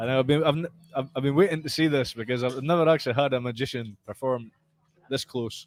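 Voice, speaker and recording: A man with a strong Scottish accent talks at a very fast pace, medium in pitch with ordinary pitch variation. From Scotland. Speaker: retired professional boxer. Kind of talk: casual podcast conversation.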